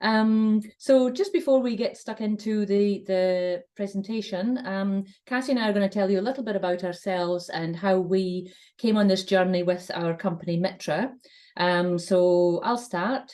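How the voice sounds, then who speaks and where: Against a quiet background, a woman with a Shetland accent speaks at a moderate pace in a dark, mellow tone, with medium pitch and ordinary pitch variation. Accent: Shetland Scottish. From Scotland, Shetland Islands. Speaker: communications consultant. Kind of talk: webinar presentation.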